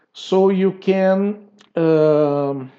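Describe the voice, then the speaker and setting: Ordinary pitch variation shapes a man's voice, which has a dark, mellow tone. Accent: non-native. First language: not English. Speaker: tutorial creator. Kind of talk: tutorial. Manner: halting.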